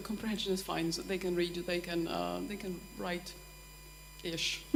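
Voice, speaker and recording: A Polish accent at a moderate pace, with noticeable background noise and audible room echo. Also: woman. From Poland. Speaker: language teacher at a university. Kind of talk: workshop discussion. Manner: halting, many false starts.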